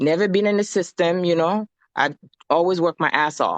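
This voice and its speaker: A woman with a non-native accent speaks at a fairly low pitch with ordinary pitch variation, in a dry, close sound with no echo against a quiet background. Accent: noticeable foreign. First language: not English. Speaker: guest. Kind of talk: casual chat.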